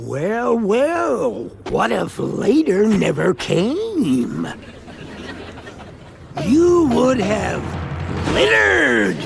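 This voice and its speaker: A cartoonish character voice at a very slow pace, with long, frequent pauses over clear background noise. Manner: boastful, folksy.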